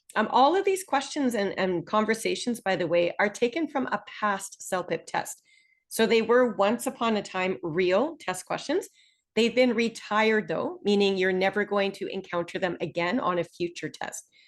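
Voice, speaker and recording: Over a quiet background, a woman with a Canadian accent speaks at a moderate pace. Her pitch is fairly high and her intonation lively. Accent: typical Canadian. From Northern Ontario, Canada. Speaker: online English instructor. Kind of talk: webinar presentation. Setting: online Zoom webinar. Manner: clear, measured.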